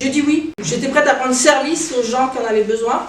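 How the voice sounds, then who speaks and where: A woman speaks in a high voice with ordinary pitch variation. Noticeable background noise and audible room echo fill the recording. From France, Sarthe. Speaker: adapted physical activity instructor. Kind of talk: interview.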